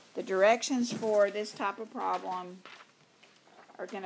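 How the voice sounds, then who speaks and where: A woman talks in a Southern US accent at a medium pitch. Her pace is moderate and her intonation fairly even. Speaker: high school math teacher. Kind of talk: lecture.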